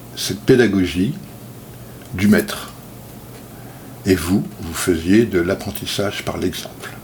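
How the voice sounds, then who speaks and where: The delivery is very slow, with long, frequent pauses and big swings in loudness. Background noise is noticeable. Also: man, very deep, low pitch for a man, ordinary pitch variation. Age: 60s. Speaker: self-taught speaker. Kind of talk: video monologue talk. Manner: hesitant, many fillers.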